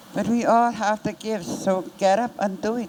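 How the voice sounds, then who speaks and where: A woman takes a fairly slow pace while noticeable noise runs underneath. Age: 70s. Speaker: community wellness worker. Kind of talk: impassioned testimony.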